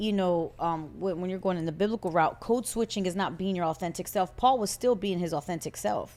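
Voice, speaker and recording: At a medium pitch, a woman speaks at a fairly quick pace with ordinary pitch variation and hardly any pauses. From US Northeast, Puerto Rican family. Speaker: podcast co-host. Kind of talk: casual chat. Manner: loud.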